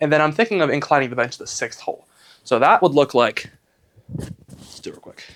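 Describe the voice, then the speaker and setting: A man's unremarkable speaking voice, fairly high in pitch, with lively intonation, big swings in loudness and a fairly quick pace. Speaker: fitness vlogger. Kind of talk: casual vlog talk.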